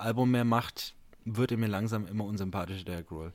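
A man's plain, everyday voice at a moderate pace with ordinary pitch variation, on a very clean recording with a silent background. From Franconia, Bamberg. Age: 30s. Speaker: podcast host and teacher. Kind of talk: casual chat.

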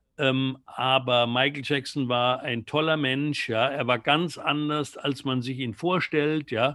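A man with an unremarkable speaking voice and fairly high pitch talks at a fairly slow pace with fairly even intonation. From Germany, near Mannheim. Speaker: music journalist. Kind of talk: interview.

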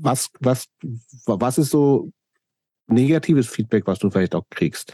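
A man's dark, mellow voice at medium pitch, very slow with long, frequent pauses, lively intonation, very even loudness, and a dry, close sound with no echo. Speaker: podcast host. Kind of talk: casual interview.

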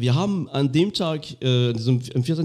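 With a French accent, a man speaks at a fairly high pitch and with ordinary pitch variation. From France, Lorraine. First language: French (speaking German). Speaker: podcast host. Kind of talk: casual chat. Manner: halting.

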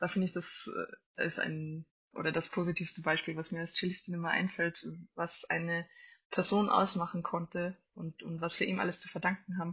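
Her pitch fairly low, a woman speaks with monotone, flat intonation. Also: moderate pace. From Austria, Salzburg. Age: 20s. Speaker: classical cellist. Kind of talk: interview.

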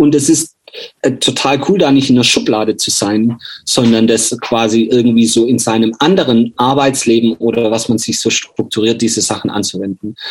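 A man talks at a moderate pace in a normal speaking voice, medium in pitch with ordinary pitch variation. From Swabia, Germany (near Kirchheim unter Teck). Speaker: coffee roaster and former hardcore singer. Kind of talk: interview.

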